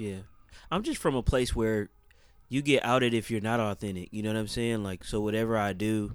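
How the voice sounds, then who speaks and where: At a moderate pace and with fairly even intonation, the speaker comes through on a very clean recording with a silent background. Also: man. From Oakland, California. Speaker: music producer and crew member. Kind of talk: interview conversation.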